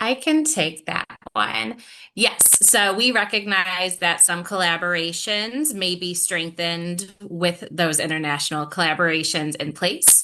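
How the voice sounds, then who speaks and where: A woman's fairly low voice at a fairly slow pace, with noticeable background noise. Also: lively intonation. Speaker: grant program staff. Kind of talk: webinar Q&A.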